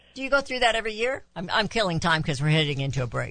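Very fast speech with very wide pitch swings and vocal fry. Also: woman. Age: old. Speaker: radio host. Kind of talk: casual chat.

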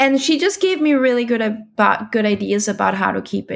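Someone with a German accent speaks at a moderate pace on a very clean recording with a silent background. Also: woman. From Austria (Vienna). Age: 30s. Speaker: parent of bilingual child. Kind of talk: interview.

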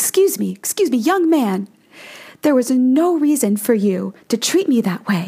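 Doing a put-on character voice, a woman speaks high, shrill and whiny at a moderate pace, her pitch swinging very widely while her loudness stays very even. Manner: holding it together, hurt but courteous.

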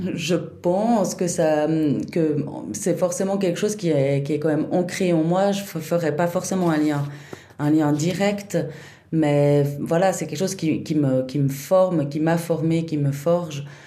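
A woman with a fairly low pitch and ordinary pitch variation speaks amid noticeable background noise and audible room echo. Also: fairly slow pace. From Switzerland, Chablais (Vaud). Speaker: festival director. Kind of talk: interview. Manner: halting, many repetitions.

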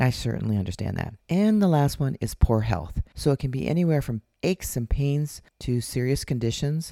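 A woman's dark, mellow voice with very wide pitch swings, in a very clean recording with a silent background. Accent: Upper Midwest. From Minnesota. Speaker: podcast host, intimacy coach. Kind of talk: solo podcast monologue. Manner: casual, laughs often.

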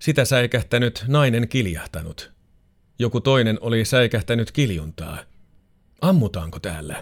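A man's medium-pitched voice with vocal fry, very wide pitch swings and a fairly slow pace, on a very clean recording with a silent background. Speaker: narrator reading a magazine feature aloud. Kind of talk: scripted true-crime style narration of a magazine feature, read aloud. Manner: measured, sober and suspenseful, even storytelling pace.

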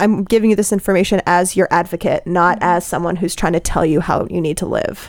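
A woman at a medium pitch speaks in a monotone, flat intonation with hardly any pauses. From Colorado. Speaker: MD PhD student. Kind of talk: casual group discussion.

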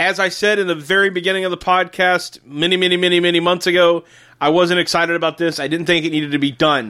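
In a very clean recording with a silent background, a man talks very fast in a high-pitched, bright, sharp voice. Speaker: podcast host. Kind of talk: casual chat; quiz hosting. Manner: animated.

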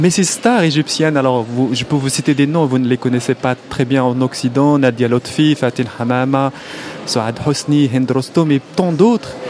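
A man with an Arabic accent speaks at a fairly slow pace and medium pitch with ordinary pitch variation. His loudness stays very even over noticeable background noise. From Morocco. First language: Arabic (speaking French). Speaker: film director and writer. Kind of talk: interview. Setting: festival hall.

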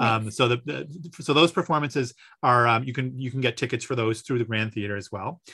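A man with an ordinary speaking voice, medium pitch and ordinary pitch variation, at a fairly quick pace over a quiet background. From Newfoundland (Gander), Canada. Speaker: music professor and composer. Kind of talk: radio interview. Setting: video call.

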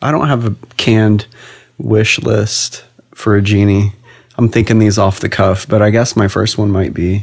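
A man's fairly low-pitched voice with an American accent, at a moderate pace and very even loudness. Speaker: podcast host. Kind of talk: casual chat. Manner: playful, animated.

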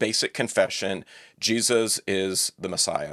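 In a plain, everyday voice, a man with a medium pitch speaks at a fairly slow pace with fairly even intonation, recorded with a dry, close sound with no echo in a very clean recording with a silent background. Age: 40s. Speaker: biblical scholar. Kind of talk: casual chat.

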